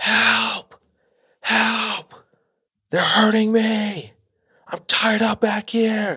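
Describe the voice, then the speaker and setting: In a put-on character voice, fairly high in pitch, the speaker shouts at a very slow pace with long, frequent pauses. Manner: screaming.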